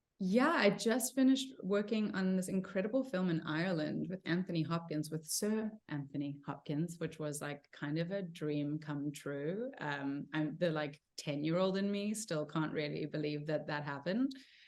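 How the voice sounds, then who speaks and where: With a South African accent, a woman speaks at a fairly low pitch with lively intonation and hardly any pauses. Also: moderate pace. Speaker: actor. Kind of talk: interview. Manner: casual, many fillers.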